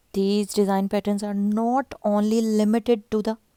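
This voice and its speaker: A woman with a non-native accent speaks at a moderate pace and medium pitch, monotone and flat, her tone dark and mellow, in a dry, close sound with no echo on a very clean recording with a silent background. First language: not English. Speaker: YouTube fashion and craft channel host. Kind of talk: narrated video presentation.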